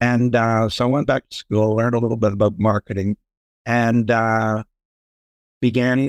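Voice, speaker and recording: At a moderate pace and with long, frequent pauses, a man with a Canadian accent talks in a monotone, flat way, the sound dry and close with no echo. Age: 60s. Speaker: sales and marketing expert. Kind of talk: podcast interview. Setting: video call.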